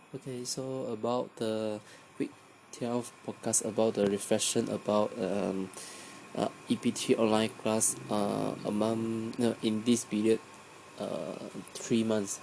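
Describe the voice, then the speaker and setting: A man's medium-pitched voice at a very slow pace with fairly even intonation, over noticeable background noise. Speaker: university student. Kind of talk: spoken class reflection. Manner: halting, many fillers.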